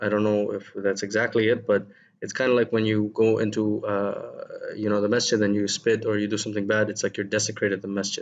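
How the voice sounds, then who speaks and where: A man with a non-native accent speaks at a fairly low pitch. His pace is moderate and his intonation fairly even. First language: not Arabic. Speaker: English teacher. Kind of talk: lesson. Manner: hesitant, many fillers.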